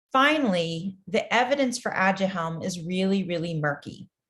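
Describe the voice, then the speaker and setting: Somewhat breathy, a woman talks at medium pitch with lively intonation. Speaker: research funding executive. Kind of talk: interview explanation.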